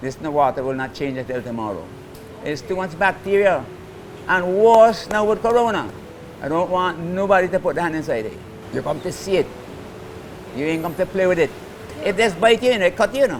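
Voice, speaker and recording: Noticeable background noise sits behind a man with a high pitch and lively intonation. He moves at a fairly quick pace but leaves long, frequent pauses. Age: 80s+. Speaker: turtle conservationist. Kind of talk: interview.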